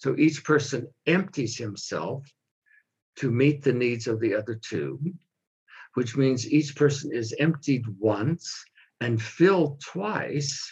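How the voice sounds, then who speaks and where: Speaking at a very slow pace, a man with an American accent uses a fairly high, somewhat breathy voice with ordinary pitch variation. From US, California. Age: 70s. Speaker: pastor and author. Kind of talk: interview.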